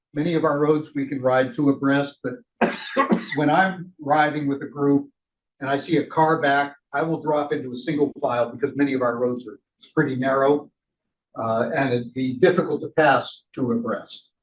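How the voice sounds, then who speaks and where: This man's intonation stays fairly even as he talks at a moderate pace. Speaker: cycling ride leader trainer. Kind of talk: training session. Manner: loud.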